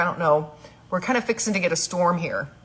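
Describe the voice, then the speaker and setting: A woman with an American accent at a medium pitch, talking at a very fast pace over noticeable background noise. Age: 60s. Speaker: makeup artist. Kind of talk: livestream makeup tutorial. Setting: live video stream. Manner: casual, chatty.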